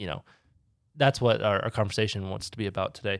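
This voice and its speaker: A man's ordinary speaking voice, fairly low in pitch with ordinary pitch variation, dry and close with no echo, in a very clean recording over a silent background. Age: 20s. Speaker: podcast host. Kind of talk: casual chat.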